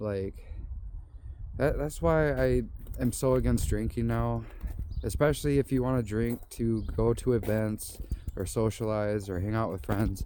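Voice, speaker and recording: Fairly slow speech with long, frequent pauses amid noticeable background noise. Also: man. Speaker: vlogger. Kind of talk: casual vlog monologue. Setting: outdoors on walking trail. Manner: rambling, halting.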